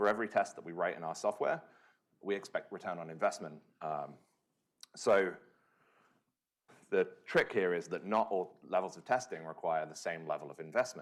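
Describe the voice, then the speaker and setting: Talking at a moderate pace with long, frequent pauses, a man's loudness swings widely. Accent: British. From UK. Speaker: software engineer, conference speaker. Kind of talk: conference talk. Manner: frequent filler words (um, uh).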